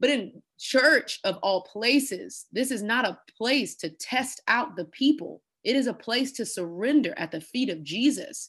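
Against a quiet background, a woman with an American accent speaks at a fairly slow pace and high pitch, her animated tone and lively intonation carrying on with hardly any pauses. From Texas, Houston. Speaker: pastor and speaker. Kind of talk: interview testimony.

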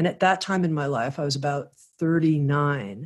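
A woman with an American accent talks at a moderate pace in a very deep, low voice with ordinary pitch variation. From US South, Miami, Florida. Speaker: spiritual publisher and podcast host. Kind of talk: interview.

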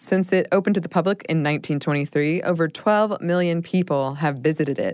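Speaking at a fairly quick pace with hardly any pauses, a woman with a fairly low pitch and ordinary pitch variation is heard in a very clean recording over a silent background. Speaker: podcast co-host. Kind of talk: casual chat with scripted history segments. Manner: rising question-like intonation when saying her name.

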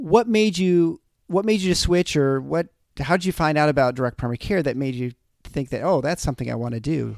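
With a plain, everyday voice, a man talks fairly quickly at a fairly high pitch with lively intonation, in a dry, close sound with no echo. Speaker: podcast host and anesthesiologist. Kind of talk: interview, casual professional chat.

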